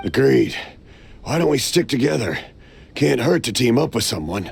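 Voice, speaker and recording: A raspy, put-on character voice sits at a low-to-middle pitch. The pace is moderate. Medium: video game.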